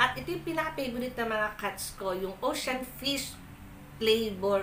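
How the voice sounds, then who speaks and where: Amid noticeable background noise and audible room echo, a woman with a fairly high pitch speaks at a fairly slow pace. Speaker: unboxing vlogger. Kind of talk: casual unboxing vlog. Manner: loud.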